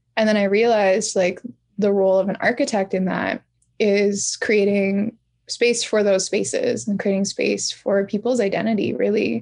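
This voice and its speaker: With a Canadian accent and a normal speaking voice, a woman talks at a moderate pace and medium pitch, her intonation fairly even and her loudness very even. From Canada, Pacific Northwest (Squamish Nation, BC). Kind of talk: interview conversation.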